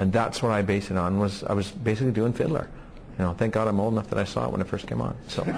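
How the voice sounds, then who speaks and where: A man talks at a very fast pace in a fairly low pitch, his loudness staying very even. Noticeable noise sits in the background. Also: ordinary pitch variation. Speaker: TV actor. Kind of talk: interview. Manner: animated.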